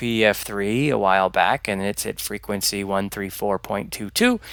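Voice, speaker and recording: A quiet, bright and sharp male voice. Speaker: flight sim youtuber with low vision. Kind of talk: tutorial. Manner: hesitant, many ums.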